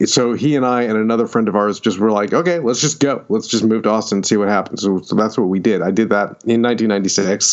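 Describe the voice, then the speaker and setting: Music plays in the background as a man speaks. His pace is moderate and his pitch medium. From upstate New York, near Syracuse. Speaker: fantasy and science fiction author. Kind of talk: interview.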